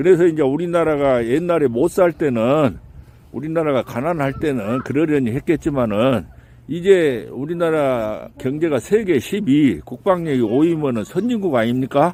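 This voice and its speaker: With a dark, mellow tone and lively intonation, a man talks at a moderate pace in a fairly high pitch. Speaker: reporter. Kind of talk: street interview questions.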